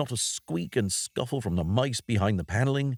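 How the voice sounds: Lively intonation runs through a natural reading voice, with a quiet background.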